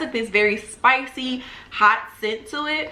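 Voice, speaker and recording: At a moderate pace, a woman with a high pitch and ordinary pitch variation speaks in a bright, sharp, animated tone, with audible room echo around her. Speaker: spiritual lifestyle YouTuber. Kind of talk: tutorial. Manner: casual, animated.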